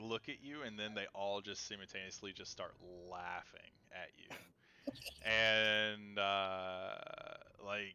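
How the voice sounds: The clip has a natural reading voice. Its intonation is fairly even.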